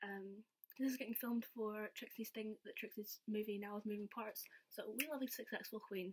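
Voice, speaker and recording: The speaker has a Scottish accent and a somewhat breathy voice. The pace is fairly quick. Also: woman, fairly high pitch for a woman. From Scotland. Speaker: vlogger. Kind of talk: casual storytelling vlog. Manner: animated. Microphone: laptop.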